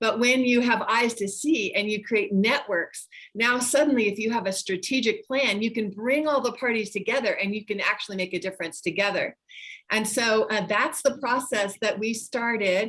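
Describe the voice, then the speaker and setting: Pitched fairly high, a woman speaks at a moderate pace in a normal speaking voice with ordinary pitch variation. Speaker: nonprofit founder and former pastor. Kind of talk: presentation in online meeting.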